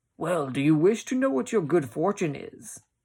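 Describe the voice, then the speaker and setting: In a put-on character voice, a man speaks at a moderate pace with high pitch. The recording is very clean with a silent background. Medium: read story. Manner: pompous, commanding.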